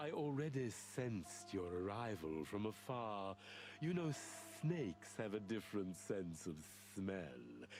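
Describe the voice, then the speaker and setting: A man does a put-on character voice at a fairly low pitch. He goes at a fairly slow pace with clear music in the background. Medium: video game. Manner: polite, measured.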